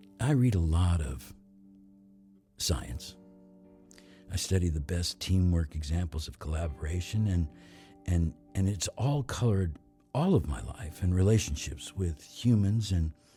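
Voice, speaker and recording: Music plays in the background as a man with a very deep, low voice speaks at a fairly slow pace, lively in intonation, with long, frequent pauses. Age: 70s. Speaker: podcast host, voice over actor. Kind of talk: podcast monologue.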